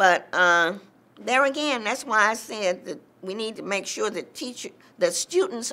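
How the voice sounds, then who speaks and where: A woman's bright, sharp voice at a fairly high pitch, lively in intonation, on a very clean recording with a silent background. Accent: American. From US South. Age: 70s. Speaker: civil rights veteran. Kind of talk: oral history interview.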